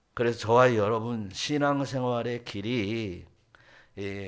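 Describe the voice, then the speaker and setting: A man in a Jeolla accent, fairly low-pitched, at a very slow pace with ordinary pitch variation. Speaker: pastor. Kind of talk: sermon. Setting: church.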